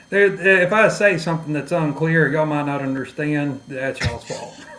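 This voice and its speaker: In an East Texas accent, a man speaks at a moderate pace and fairly high pitch with ordinary pitch variation, amid noticeable background noise and audible room echo. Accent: Southern East Texas. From East Texas, near Louisiana/Arkansas border. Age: 30s. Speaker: podcast guest. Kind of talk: personal testimony in interview.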